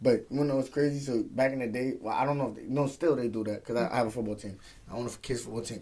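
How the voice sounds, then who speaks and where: Very fast and fairly even in intonation, a man of medium pitch speaks in a dark, mellow tone with an American accent. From Brooklyn, New York (Flatbush). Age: 20s. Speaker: professional boxer. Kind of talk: casual interview.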